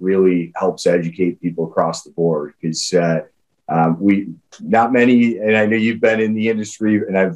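The speaker is a man. His voice has ordinary pitch variation. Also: quiet background. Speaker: guest. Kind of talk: interview answer. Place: office. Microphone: webcam.

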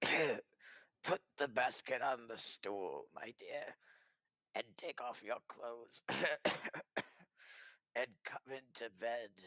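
Putting on a character voice, a man speaks at a medium pitch and a very slow pace, with long, frequent pauses. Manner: feigning weakness.

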